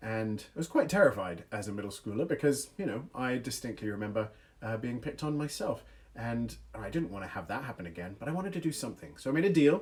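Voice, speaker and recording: A man talks at a very fast pace with very wide pitch swings around a medium pitch. His voice is somewhat breathy. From England, small village; moved to US as child. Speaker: youth speaker. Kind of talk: livestream talk with storytelling. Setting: online livestream. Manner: animated.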